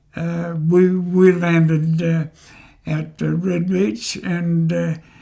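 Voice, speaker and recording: A man with an Australian accent speaks very slowly in a high pitch, his tone dark and mellow and his intonation monotone and flat. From Australia, North Queensland. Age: 90s. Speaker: war veteran. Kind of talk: interview. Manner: halting.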